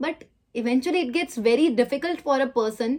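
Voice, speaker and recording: Her voice is high-pitched. This woman speaks with lively intonation. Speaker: life insurance awareness advisor, vlogger. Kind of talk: commentary to camera; phone call.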